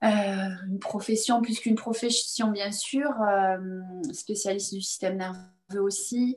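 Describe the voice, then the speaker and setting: Very slowly, a woman speaks in a fairly high, somewhat breathy voice with fairly even intonation. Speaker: chiropractor. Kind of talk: interview.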